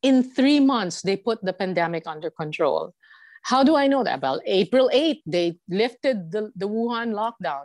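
Fairly high in pitch, a woman talks at a moderate pace with very wide pitch swings. The sound is dry and close, with no echo. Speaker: journalist, news copy editor. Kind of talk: casual interview chat. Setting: remote call from Beijing.

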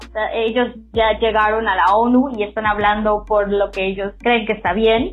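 A woman speaks at a moderate pace. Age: 20s. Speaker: fan community organizer. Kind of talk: casual interview.

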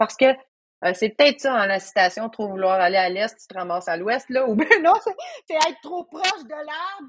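A woman with a Quebec accent speaks at a high pitch and moderate pace. Her pitch swings very widely, and her loudness shifts a lot. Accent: Québécois French. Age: 40s. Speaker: trail runner and coach. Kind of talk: casual chat.

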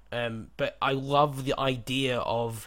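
The speaker has a British accent and fairly even intonation. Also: man. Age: 20s. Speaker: podcast host and company co-founder. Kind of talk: casual chat.

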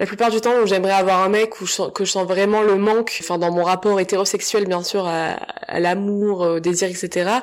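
Over noticeable background noise, a woman at a medium pitch speaks in a monotone with flat intonation and very even loudness. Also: moderate pace. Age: 20s. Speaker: podcaster. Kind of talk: solo monologue. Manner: halting. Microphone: sound and microphone problems.

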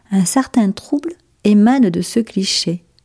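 A somewhat breathy woman speaks at a very slow pace with lively intonation. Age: 50s. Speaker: former clothing retail worker writing a letter. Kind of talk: reading aloud. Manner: formal.

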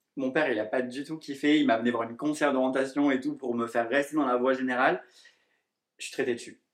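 Talking at a very fast pace, a man keeps a medium pitch and a fairly even intonation. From southern France, near Montpellier. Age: 20s. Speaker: hairdresser and influencer. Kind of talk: casual interview.

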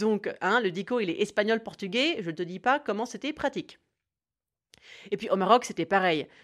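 A woman at a fairly high pitch, lively intonation and long, frequent pauses. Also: moderate pace, quiet background. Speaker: podcaster. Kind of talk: scripted narration. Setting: home recording.

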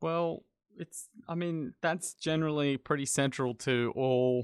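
Ordinary pitch variation marks this speaker with an Australian accent, heard in a dry, close sound with no echo. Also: man. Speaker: journalist. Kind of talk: casual chat. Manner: halting, frequent repetitions.

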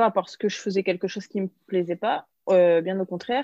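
Against a quiet background, a woman of medium pitch with a dark, mellow tone talks at a moderate pace, her sound dry and close with no echo. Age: 20s. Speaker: content creator and entrepreneur. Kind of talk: casual interview chat.

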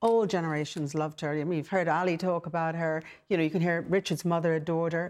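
Here a woman speaks with an Irish accent at a fairly low pitch. The recording is very clean with a silent background. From Ireland. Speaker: businesswoman and broadcaster. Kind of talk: panel discussion.

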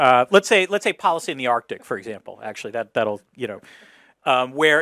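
Speaking at a very fast pace with lively intonation and an American accent, this voice has a bright, sharp tone and a dry, close sound with no echo. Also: man, very clean recording, silent background. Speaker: professor and political commentator. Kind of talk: public lecture discussion. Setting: stage with audience.

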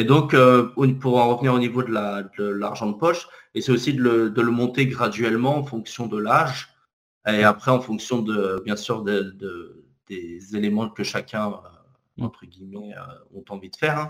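A man with a medium pitch speaks at a fairly slow pace with ordinary pitch variation. His loudness swings widely. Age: 30s. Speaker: author and corporate trainer. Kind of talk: interview. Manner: hesitant, many fillers.

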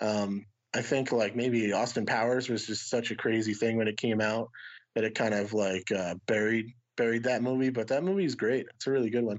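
In a normal speaking voice, a man talks at a fairly quick pace and medium pitch with fairly even intonation. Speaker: disc golf YouTuber. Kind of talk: casual chat.

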